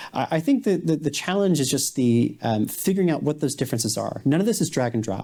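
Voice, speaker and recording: Lively intonation marks a man's dark, mellow tone. The recording is very clean, with a silent background. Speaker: AI policy researcher. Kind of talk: panel discussion.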